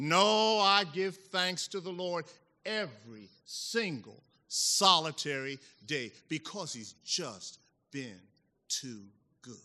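Speaking with an American accent, a man with a high pitch and a bright, sharp tone talks at a very slow pace, his pitch swinging very widely and his loudness in big swings, with long, frequent pauses over a quiet background. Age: 60s. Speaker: divinity faculty member. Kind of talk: testimony, preaching style.

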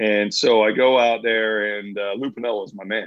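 A man speaks with an American accent at a fairly low pitch. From US South, Florida (St. Petersburg). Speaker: former pro baseball player. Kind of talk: casual interview storytelling. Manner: animated.

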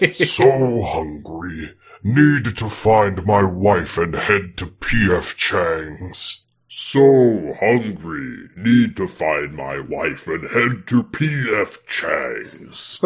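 Using a put-on character voice, a man speaks in a fairly low pitch. His pace is very slow. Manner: hungry, comedic.

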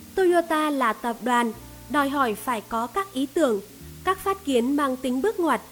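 Over music in the background, a woman with a high pitch speaks at a moderate pace with lively intonation. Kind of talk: audiobook reading of a business book. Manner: steady, even, formal narration.

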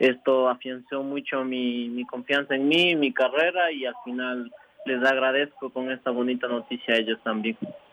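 A man's medium-pitched voice with fairly even intonation over noticeable background noise. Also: moderate pace. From Ecuador, Imbabura (Ibarra). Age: 20s. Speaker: professional cyclist. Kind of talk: radio interview.

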